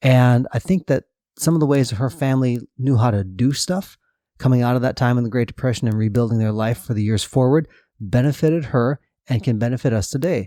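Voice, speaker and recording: An unremarkable speaking voice talks at a fairly quick pace with ordinary pitch variation, very even loudness, and a dry, close sound with no echo. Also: man, medium pitch for a man. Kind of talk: interview questions.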